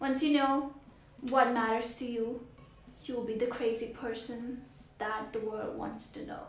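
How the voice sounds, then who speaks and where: With big swings in loudness and a high pitch, a woman speaks at a fairly slow pace amid audible room echo and noticeable background noise. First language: Hindi. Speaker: vlogger. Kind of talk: motivational vlog. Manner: animated.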